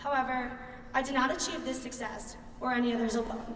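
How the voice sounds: With a Philadelphia accent, the speaker talks at a fairly quick pace in fairly even intonation, and audible room echo surrounds the voice. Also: woman, high pitch for a woman. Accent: Philadelphia American.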